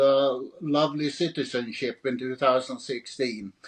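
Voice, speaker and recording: Talking at a fairly slow pace, a man with a Swedish accent holds a medium pitch. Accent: Swedish, Scandinavian singing. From Sweden. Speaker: author. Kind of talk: interview. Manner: halting, repeats words.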